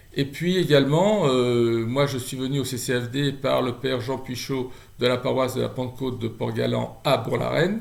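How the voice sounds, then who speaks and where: In a room with audible echo, a man speaks at a medium pitch and moderate pace, his pitch varying in an ordinary way. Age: 60s. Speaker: charity volunteer. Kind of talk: testimony. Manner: halting.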